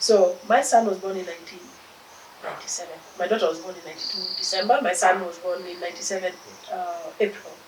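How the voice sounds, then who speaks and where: A woman with a Kenyan accent, medium pitch and fairly even intonation, very fast yet with long, frequent pauses, loudness swinging widely, audible room echo and noticeable background noise. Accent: Kenyan accent, kept. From Kenya, Nairobi. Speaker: philanthropist, charity founder. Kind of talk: interview.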